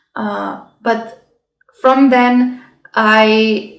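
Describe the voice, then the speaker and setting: Fairly high-pitched female voice with monotone, flat intonation and audible room echo. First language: not English. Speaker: health and self-growth vlogger. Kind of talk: casual vlog talk. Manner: halting.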